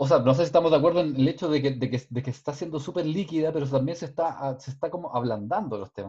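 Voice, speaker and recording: A man talks at a very fast pace with hardly any pauses, his voice somewhat breathy with a dark, mellow tone. His fairly high pitch shows ordinary variation. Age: 40s. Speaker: podcast co-host. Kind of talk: casual panel discussion.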